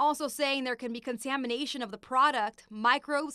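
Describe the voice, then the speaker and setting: A woman talks at a fairly quick pace in a high, bright, sharp voice, raised and projected. Her pitch varies in an ordinary way, and the sound is dry and close with no echo. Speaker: TV news anchor and reporter. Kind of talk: TV news report voiceover.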